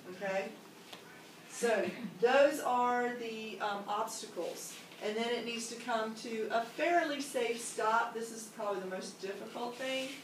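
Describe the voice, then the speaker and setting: A woman at a fairly slow pace, with audible room echo and light background noise. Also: ordinary pitch variation. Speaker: teacher leading training. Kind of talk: instructional explanation to colleagues. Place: classroom. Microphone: camera far.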